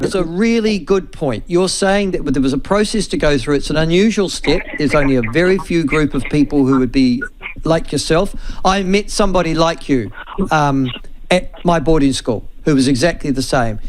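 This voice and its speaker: Against noticeable background noise, a man with a New Zealand accent talks at a fairly high pitch and a moderate pace. His intonation is lively and his loudness very even. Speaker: radio talk show host. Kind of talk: radio talkback interview.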